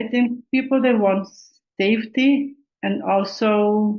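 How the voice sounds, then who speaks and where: A woman with a non-native accent and ordinary pitch variation. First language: not English. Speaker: aspiring Amazon seller. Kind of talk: coaching consultation. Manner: halting.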